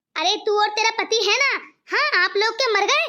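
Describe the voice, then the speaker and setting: Doing a cartoonish character voice at an extremely high pitch, a woman speaks at a very fast pace with very even loudness. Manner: harsh, scolding.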